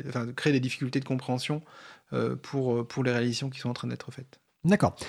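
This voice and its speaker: Over a very clean recording with a silent background, a man speaks at medium pitch and a fairly quick pace in a monotone, flat intonation. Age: 40s. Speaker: software developer and coding workshop co-founder. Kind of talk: radio interview. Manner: halting, many repetitions.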